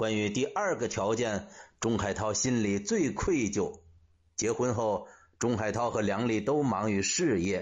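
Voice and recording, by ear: The intonation rises and falls in a lively way. The text is read aloud in a natural voice.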